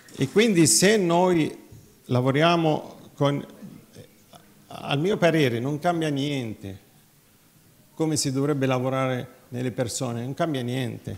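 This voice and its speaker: A man talks at a very slow pace with long, frequent pauses. His pitch is fairly high, with ordinary variation. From Nazareth; Israel. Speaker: physician, cardiologist and veterinarian; conference speaker. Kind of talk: conference talk. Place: hall.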